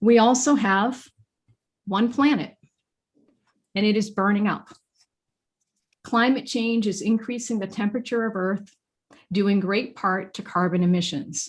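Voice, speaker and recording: Speaking at a moderate pace, a woman with a Maine accent has a fairly high, somewhat breathy voice. The recording is very clean and the background silent. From Maine, US. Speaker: featured speaker on workplace design. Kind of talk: presentation to a professional association. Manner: formal.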